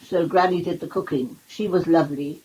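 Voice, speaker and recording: With a Cornish accent, a woman speaks at a moderate pace in a fairly low pitch with ordinary pitch variation. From Cornwall, England. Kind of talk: memoir reading.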